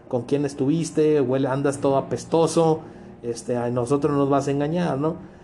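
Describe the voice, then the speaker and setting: A man speaks with a fairly high pitch. His intonation holds fairly even throughout. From Mexico, Culiacán, Sinaloa. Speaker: podcast guest, host's coworker. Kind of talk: casual chat. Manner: halting, with many repetitions.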